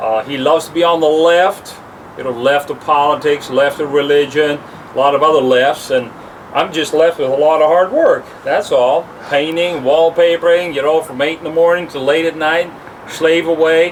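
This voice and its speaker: Male speech, fairly high in pitch and fairly even in intonation, at a moderate pace amid noticeable background noise. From Canada, born in the Netherlands. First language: Dutch. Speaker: house painter and wallpaperer. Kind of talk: casual chat.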